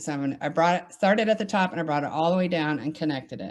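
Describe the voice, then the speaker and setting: Speaking very fast in an animated tone, a woman with a Southern US accent has a fairly low pitch. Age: 40s. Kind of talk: tutorial.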